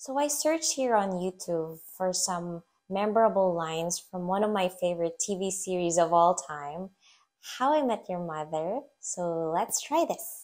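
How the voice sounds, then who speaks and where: A woman in an American accent, medium pitch, lively intonation, fairly slow pace, on a very clean recording with a silent background. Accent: mostly American-leaning English. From Philippines. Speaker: English teacher and YouTuber. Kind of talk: tutorial.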